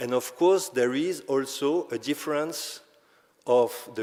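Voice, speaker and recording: With a non-native accent, a man speaks at a medium pitch over noticeable background noise. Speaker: conference speaker on open access publishing. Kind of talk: conference presentation. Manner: halting, with self-corrections.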